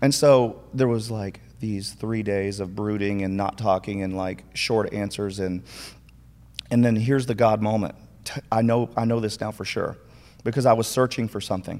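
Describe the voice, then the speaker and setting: On a very clean recording with a silent background, a man speaks with an American accent at a moderate pace and fairly low pitch. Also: fairly even intonation. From Minnesota. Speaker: church youth deacon. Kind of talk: casual interview conversation.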